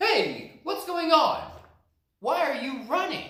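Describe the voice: A man's put-on character voice, extremely high and bright and sharp in tone, slow, with big pitch swings.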